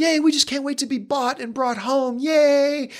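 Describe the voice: A put-on character voice, high in pitch, delivered at a moderate pace.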